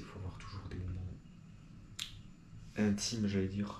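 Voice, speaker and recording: Very fast, monotone, flat speech from a man with a fairly low pitch, with audible room echo. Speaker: video blogger. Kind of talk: improvised monologue to camera. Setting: talking to a camera.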